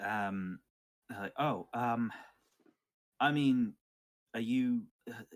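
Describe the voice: A man speaks at a very slow pace in a medium pitch. His pitch variation is ordinary.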